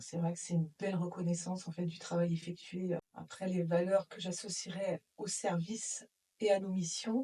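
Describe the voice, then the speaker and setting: A woman's ordinary speaking voice, fairly low in pitch, at a moderate pace with fairly even intonation. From Brittany, north Finistère, France. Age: 40s. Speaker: insurance claims manager at a transport company. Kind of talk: interview testimony.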